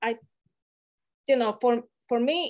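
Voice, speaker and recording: Moderate pacing and a high pitch from a woman. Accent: Latin American. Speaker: healthcare community leader. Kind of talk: panel discussion. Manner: halting, with many fillers.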